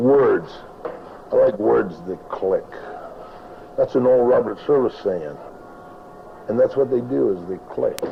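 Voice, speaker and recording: A man speaks at a fairly slow pace with long, frequent pauses. Noticeable background noise runs beneath him. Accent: American. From Nevada. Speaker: cowboy poet and rancher. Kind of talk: interview answer. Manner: casual, rambling.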